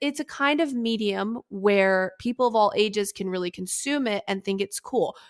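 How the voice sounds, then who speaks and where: Speaking at a moderate pace in a normal speaking voice, a woman with a fairly high pitch is heard in a dry, close sound with no echo. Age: 20s. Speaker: motorsport journalist and podcast host. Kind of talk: casual interview chat.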